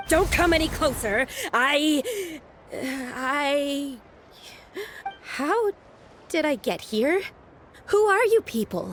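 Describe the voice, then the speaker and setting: Shaky, high-pitched put-on character voice from a woman, very slow, with very wide pitch swings and long, frequent pauses. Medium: video game. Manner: shaky, stammering.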